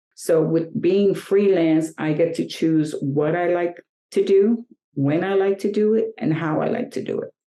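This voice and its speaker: Woman with a fairly low pitch and a dark, mellow tone, at a fairly slow pace with ordinary pitch variation. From New York. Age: 60s. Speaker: fashion model. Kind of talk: interview.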